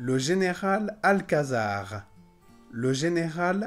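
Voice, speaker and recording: Faint music plays in the background as a man speaks at a very slow pace. His pitch swings very widely. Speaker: French pronunciation teacher. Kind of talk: slow, clear pronunciation demonstration. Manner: slow, clear.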